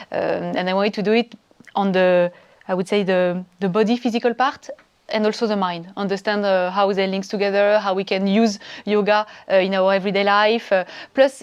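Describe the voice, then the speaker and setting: The speaker has a French accent. The intonation is monotone and flat. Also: woman, medium pitch for a woman. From France. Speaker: yoga training student, entrepreneur. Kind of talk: testimonial interview. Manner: hesitant, many fillers.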